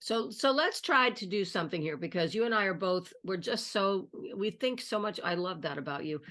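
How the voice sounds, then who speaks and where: In an American accent, a woman speaks at a moderate pace in a plain, everyday voice, with medium pitch and lively intonation. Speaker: online video host. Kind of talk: conversational interview.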